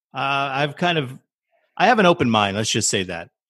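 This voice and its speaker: Against a quiet background, a man with a fairly high pitch and a bright, sharp tone speaks with very wide pitch swings. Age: 40s. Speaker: podcast host. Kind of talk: casual chat.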